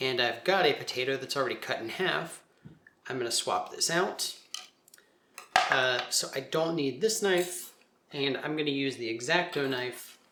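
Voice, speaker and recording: A man's relaxed voice, fairly high in pitch with ordinary pitch variation, at a moderate pace with long, frequent pauses, over noticeable background noise. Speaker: art teacher. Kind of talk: craft tutorial demonstration. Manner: casual, relaxed.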